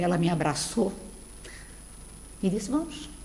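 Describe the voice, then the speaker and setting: With audible room echo, a woman speaks with very wide pitch swings. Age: 60s. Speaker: spiritist lecturer. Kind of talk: lecture. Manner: conversational, addressing audience.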